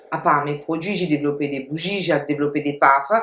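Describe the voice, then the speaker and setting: A woman speaks with fairly even intonation. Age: 60s. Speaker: entrepreneur. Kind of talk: testimony.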